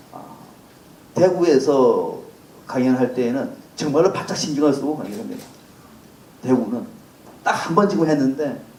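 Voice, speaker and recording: Lively intonation marks this speaker in a Gyeongsang accent, heard with audible room echo and noticeable background noise. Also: man. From South Gyeongsang, Korea (Sancheong). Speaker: political commentator. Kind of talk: lecture.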